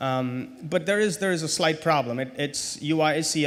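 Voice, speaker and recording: A man speaks with a non-native accent. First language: not English. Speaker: conference speaker. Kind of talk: technical conference talk. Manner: hesitant, many fillers and repetitions.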